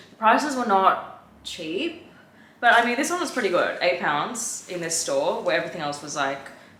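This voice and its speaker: Her intonation is lively and her pace moderate as this woman speaks against noticeable background noise and audible room echo. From Australia. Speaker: fashion vlogger. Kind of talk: try-on haul vlog. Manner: casual, filler-heavy.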